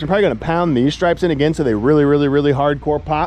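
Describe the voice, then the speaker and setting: A man shouts loudly. Noticeable background noise is present. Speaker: lawn care business owner and vlogger. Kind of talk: casual vlog talk to camera. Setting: outdoors at a large property with mowers. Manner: loud, yelling over mower.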